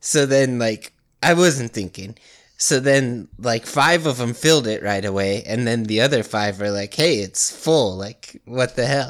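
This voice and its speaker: Recorded very cleanly against a silent background, a man talks at a fairly slow pace in an ordinary speaking voice of medium pitch with ordinary pitch variation. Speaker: podcast co-host. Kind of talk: casual chat.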